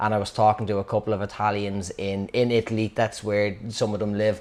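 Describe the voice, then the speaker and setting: A man with a Dublin accent talks at a fairly quick pace. His pitch sits fairly low. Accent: Dublin Irish. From Dublin, Ireland (Clondalkin). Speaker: storyteller. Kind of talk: personal anecdote. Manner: casual, halting with fillers.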